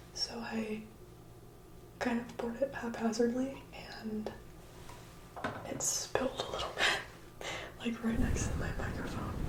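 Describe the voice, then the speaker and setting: Amid noticeable background noise, a whispered voice moves along at a moderate pace. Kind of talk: ASMR video, casual talk to camera. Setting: close microphone. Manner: whispered, soft-spoken.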